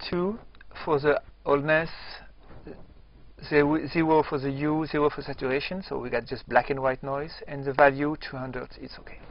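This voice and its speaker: A man speaks with a French accent at a fairly high pitch for a man. His intonation is fairly even, broken by long, frequent pauses. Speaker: software tutorial presenter. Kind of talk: tutorial. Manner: slow; halting.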